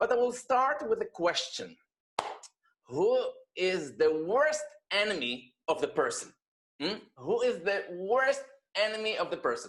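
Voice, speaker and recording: A man with an Israeli accent speaks at a fairly slow pace. He leaves long, frequent pauses. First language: Hebrew. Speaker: rabbi. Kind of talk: personal testimony talk.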